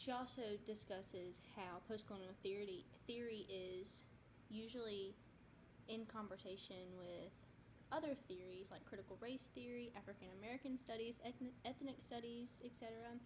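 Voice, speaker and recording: This woman's voice is fairly high and somewhat breathy. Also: ordinary pitch variation, moderate pace. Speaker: student. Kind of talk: class presentation. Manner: soft-spoken.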